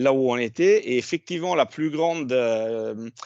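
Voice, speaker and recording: Over a quiet background, a man with an Italian accent talks with ordinary pitch variation in a dry, close sound with no echo. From Italy. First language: Italian (speaking French). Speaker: HR director. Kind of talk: panel discussion.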